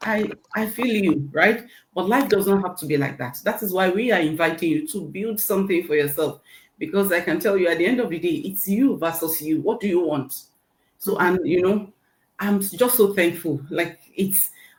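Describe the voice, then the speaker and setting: At a moderate pace, a woman talks in a medium-pitched, somewhat breathy voice with lively intonation. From Nigeria. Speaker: registered nurse and online business owner. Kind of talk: interview testimony. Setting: live online interview panel.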